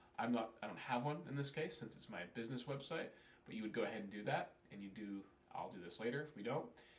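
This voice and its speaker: A man with an American accent, talking very fast, with audible room echo. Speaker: email marketing consultant. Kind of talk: tutorial. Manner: casual, conversational.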